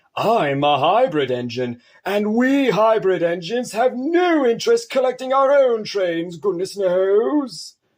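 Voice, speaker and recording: This man puts on a character voice. He pitches it high. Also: fairly slow pace, hardly any pauses. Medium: read story.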